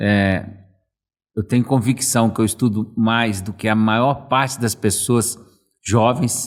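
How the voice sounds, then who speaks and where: Very clean and set against a silent background, a man's medium-pitched voice moves very slowly with fairly even intonation and long, frequent pauses. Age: 60s. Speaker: management consultant. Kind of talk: casual chat.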